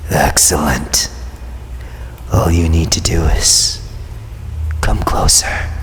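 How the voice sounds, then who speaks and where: A man whispers in a put-on character voice at a very slow pace, with clear background noise behind him. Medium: read story. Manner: soft, gentle, enticing.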